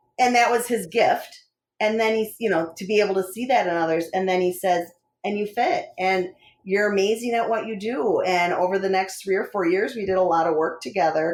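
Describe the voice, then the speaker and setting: Speaking fairly quickly with an American accent, a woman uses a normal speaking voice at a medium pitch with ordinary pitch variation. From Wisconsin. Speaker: coach. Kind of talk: interview.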